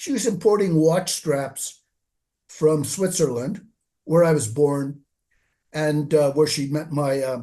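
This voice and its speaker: Using lively intonation, a man with a Canadian accent talks in a dark, mellow tone. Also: quiet background. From Canada. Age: 70s. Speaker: author and website writer. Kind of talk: interview.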